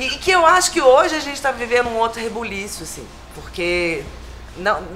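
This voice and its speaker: Music plays in the background as a woman speaks at a moderate pace. Her pitch swings very widely. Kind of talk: interview answer. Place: hall.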